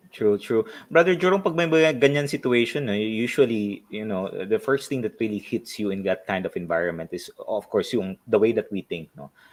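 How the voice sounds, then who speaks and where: Talking at a fairly quick pace with hardly any pauses, a man with a Filipino accent swings very widely in pitch, and the sound is dry and close with no echo. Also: medium pitch for a man. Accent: Filipino English with Tagalog code-switching. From Philippines. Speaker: life coach and show host. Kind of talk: interview.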